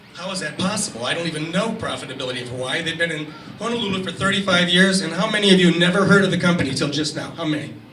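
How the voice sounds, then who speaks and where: Over noticeable background noise and audible room echo, a man talks at a fairly quick pace in a high voice with ordinary pitch variation. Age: 60s. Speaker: marketing executive and speaker. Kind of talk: presentation to an audience. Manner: animated.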